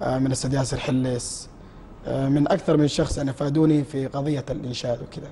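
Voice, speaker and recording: A man's fairly high voice at a fairly quick pace, monotone and flat, over noticeable background noise. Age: 20s. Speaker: nasheed singer. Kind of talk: TV interview. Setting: TV studio.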